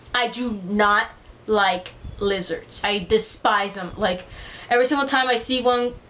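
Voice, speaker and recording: A woman's fairly high voice keeps a fairly even intonation while noticeable background noise plays underneath. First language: Spanish. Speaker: beauty vlogger. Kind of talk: casual vlog chat. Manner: casual, filler-heavy.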